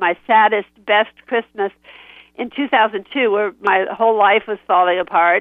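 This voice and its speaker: At a fairly slow pace, a woman with an ordinary speaking voice talks at a medium pitch. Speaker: voice actress and writer. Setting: phone call.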